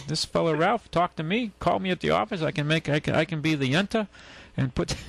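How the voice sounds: A man's fairly high voice with vocal fry, at a fairly quick pace.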